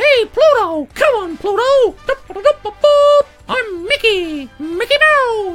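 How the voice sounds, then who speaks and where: Faint music plays in the background as a put-on character voice at an extremely high pitch moves at a very slow pace with long, frequent pauses. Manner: cheerful, playful.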